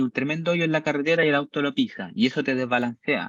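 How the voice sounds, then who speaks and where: In a Chilean accent, a man with a fairly high pitch speaks at a fairly quick pace, recorded dry and close with no echo against a quiet background. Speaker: university-level instructor. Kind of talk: lecture. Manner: animated, conversational.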